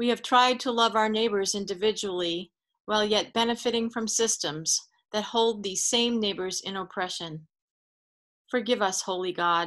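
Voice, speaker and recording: Against a quiet backdrop, a woman's intonation stays fairly even. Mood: solemn, measured. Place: home room. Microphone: video call.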